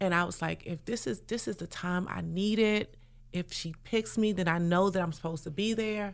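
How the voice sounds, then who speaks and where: A woman uses a normal speaking voice at a medium pitch with ordinary pitch variation and a moderate pace. The recording is very clean, with a silent background. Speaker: mastermind participant. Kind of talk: casual chat.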